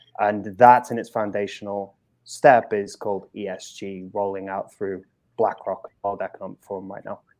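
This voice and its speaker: Against a quiet background, a man with a British accent and fairly low pitch speaks at a moderate pace in a monotone, flat intonation, with big swings in loudness. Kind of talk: panel discussion answer.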